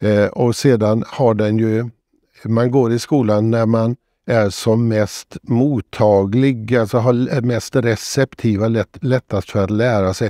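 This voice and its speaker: A man speaks at a very slow pace in a dark, mellow tone, with fairly even intonation and very even loudness, the sound dry with no echo over a quiet background. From Sweden, Borås (Västergötland); Sweden. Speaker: retired professor and author. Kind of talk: interview. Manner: hesitant, frequent filler sounds. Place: studio. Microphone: lapel.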